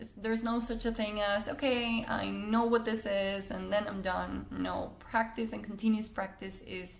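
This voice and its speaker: A woman with a Spanish accent speaks at a medium pitch. Audible room echo and noticeable background noise surround her voice. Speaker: communication coach. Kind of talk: personal story monologue. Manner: hesitant with fillers.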